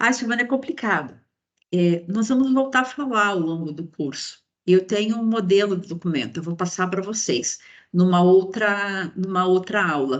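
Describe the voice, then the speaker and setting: This woman has an ordinary speaking voice at medium pitch. She talks at a moderate pace with lively intonation. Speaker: university professor, copyright law specialist. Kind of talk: lecture. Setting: online class, video call.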